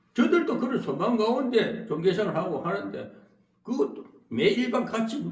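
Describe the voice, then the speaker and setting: A man with a Gyeongsang accent speaks at a moderate pace, with audible room echo. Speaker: pastor. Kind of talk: sermon. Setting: church. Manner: halting, with filler interjections.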